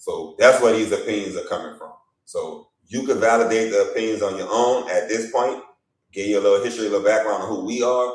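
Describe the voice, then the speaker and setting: There is audible room echo around the speaker. A man talks at a fairly quick pace. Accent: Louisiana. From Louisiana. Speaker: basketball media journalist and evaluator. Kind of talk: live stream talk show. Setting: livestream. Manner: animated.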